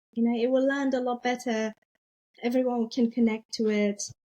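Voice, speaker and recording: Speaking with a non-native accent, a woman has a dark, mellow tone and fairly even intonation. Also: dry, close sound with no echo. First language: not English. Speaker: business agility leader and author. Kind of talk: interview podcast conversation.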